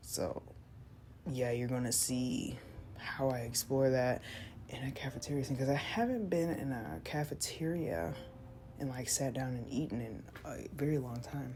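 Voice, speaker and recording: The speaker takes long, frequent pauses, with ordinary pitch variation and audible room echo. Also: woman, very deep, low pitch for a woman. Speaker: art content creator. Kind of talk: casual draw-along chat. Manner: hesitant, many fillers; slow.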